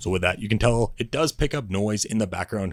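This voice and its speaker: On a very clean recording with a silent background, a man with a fairly low voice talks fairly quickly with ordinary pitch variation. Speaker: tech reviewer. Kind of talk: product review.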